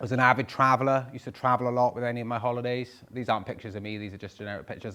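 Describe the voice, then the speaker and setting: In a Welsh accent, the speaker talks at a very fast pace with fairly even intonation. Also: man. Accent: Welsh (Swansea). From Wales, Swansea. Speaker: property investor. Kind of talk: talk to live audience. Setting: stage with audience.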